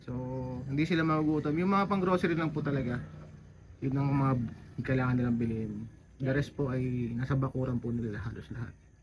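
Over noticeable background noise, a man talks at a very fast pace with long, frequent pauses and ordinary pitch variation. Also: medium pitch for a man. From Zambales, Philippines. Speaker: travel and food vlogger. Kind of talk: walking tour vlog. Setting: outdoors at a market. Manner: casual, laughs often.

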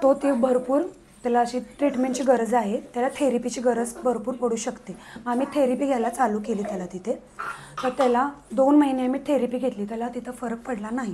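With noticeable background noise behind her, a woman speaks at a high pitch with fairly even intonation. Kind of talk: interview answer. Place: office.

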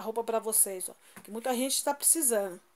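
A woman speaks with ordinary pitch variation. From Brazil. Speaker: YouTuber; vlogger donating clothes. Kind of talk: casual vlog showing items. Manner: informal, chatty. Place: home room. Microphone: phone near.

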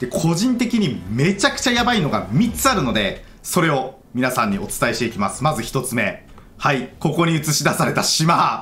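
A fairly high-pitched man talks with hardly any pauses and very wide pitch swings. Room echo is audible. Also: moderate pace. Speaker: gaming YouTuber. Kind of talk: game news commentary. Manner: animated.

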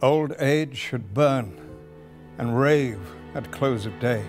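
A man talks at a very slow pace with lively intonation, music playing in the background. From Wales. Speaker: actor. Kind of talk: poetry reading. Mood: grave, intense, solemn. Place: studio.

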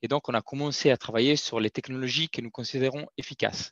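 Over a quiet background, a man speaks at a moderate pace. His pitch varies in an ordinary way. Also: dry sound with no echo. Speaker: corporate sustainability manager; guest. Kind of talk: webinar testimony. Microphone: video call.

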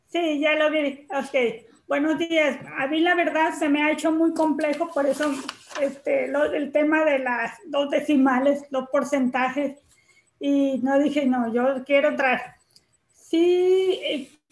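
Audible room echo surrounds a woman who speaks very slowly with a high pitch and fairly even intonation. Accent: Mexican. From Tlaxcala, Mexico. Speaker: special education teacher. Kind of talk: casual spoken comment in online class. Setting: video call. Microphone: video call.

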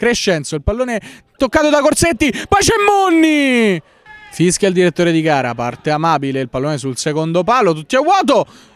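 Over noticeable background noise, a man with a high-pitched voice sounds excited, his pitch swinging very widely. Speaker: football commentator. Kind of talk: live football commentary, play-by-play radio style. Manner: fast, breathless, rapid-fire delivery; excited, rising intensity at chances and goals.

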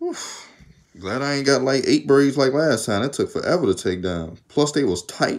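The voice has vocal fry and lively intonation at a moderate pace. The background is quiet. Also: man, fairly high pitch for a man. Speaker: YouTuber; vlogger. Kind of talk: casual vlog. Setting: home video recording. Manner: casual, rambling. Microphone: phone near.

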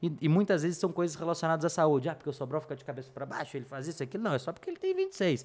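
A man's high-pitched, very fast delivery with lively intonation and hardly any pauses. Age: 20s. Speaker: paid ads specialist; podcast guest. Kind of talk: casual interview chat. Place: studio. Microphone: studio mic.

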